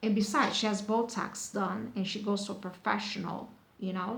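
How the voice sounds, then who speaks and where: Medium in pitch, a woman with an American accent talks at a moderate pace and fairly even intonation. Noticeable background noise and audible room echo fill the recording. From United States. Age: 40s. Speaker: beauty product reviewer. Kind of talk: casual vlog review. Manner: halting, many fillers and repetitions.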